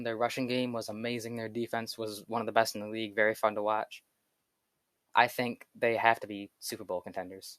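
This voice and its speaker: A man with an unremarkable speaking voice talks at a fairly quick pace and medium pitch, his loudness swinging widely in a dry, close sound with no echo. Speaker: sports youtuber. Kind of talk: solo commentary video. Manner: casual.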